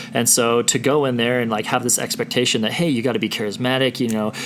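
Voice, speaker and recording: Noticeable background noise sits behind a man speaking at a very fast pace. His pitch is medium and his intonation fairly even. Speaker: podcast host. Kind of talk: podcast interview. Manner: loud.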